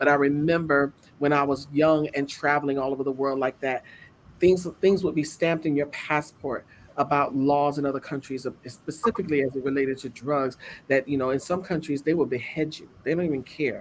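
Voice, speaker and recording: With an American accent, a woman speaks in a very deep, low voice with fairly even intonation. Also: fairly quick pace. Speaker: talk show co-host. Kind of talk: casual chat.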